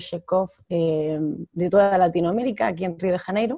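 Dry and close with no echo, a woman's dark, mellow voice moves at a moderate pace with ordinary pitch variation. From Almería, Spain. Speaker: actress. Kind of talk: interview.

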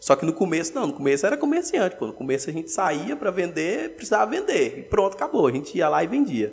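Here a man talks at a very fast pace. His high voice swings very widely in pitch. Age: 20s. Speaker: entrepreneur, food shop owner. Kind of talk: casual interview.

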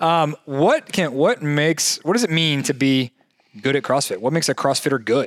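An unremarkable speaking voice with an American accent, at a moderate pace, in a dry, close sound with no echo. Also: man. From Jacksonville, Florida. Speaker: fitness coach and podcast co-host. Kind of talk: casual chat.

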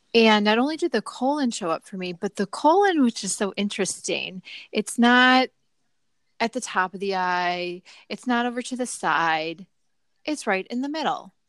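In a very clean recording with a silent background and a dry, close sound with no echo, a woman talks at a moderate pace with a fairly high pitch, lively intonation and an ordinary speaking voice. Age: 30s. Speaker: podcast host. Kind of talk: casual interview.

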